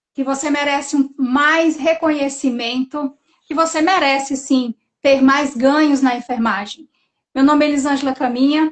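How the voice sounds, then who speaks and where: Her pitch high, a woman keeps a moderate pace and fairly even intonation. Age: 40s. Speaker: nurse entrepreneur, live host. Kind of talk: live stream interview.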